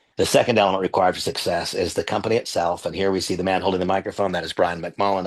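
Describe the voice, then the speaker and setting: A man with a very deep, low voice rushes along at a very fast pace with hardly any pauses, his intonation monotone and flat. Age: 60s. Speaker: network marketing presenter. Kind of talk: sales pitch.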